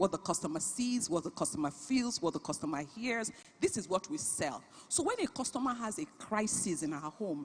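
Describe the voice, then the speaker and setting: Animated in tone, a woman speaks at a fairly quick pace, her pitch swinging very widely. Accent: Nigerian. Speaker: business founder and CEO. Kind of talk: panel talk at a conference.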